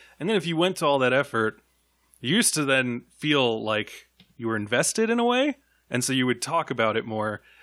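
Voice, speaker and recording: Here a man has an unremarkable speaking voice at medium pitch with lively intonation. The recording is very clean, with a silent background. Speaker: film podcast host. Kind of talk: casual roundtable discussion. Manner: casual, profane.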